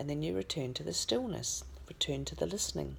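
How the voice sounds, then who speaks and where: In a gentle, calm tone, a woman with an Australian accent speaks over light background noise. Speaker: spiritual healer and channeller. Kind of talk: guided meditation. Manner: slow, calm, soothing; gentle, instructive. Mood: calm, soothing. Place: home room. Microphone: phone near.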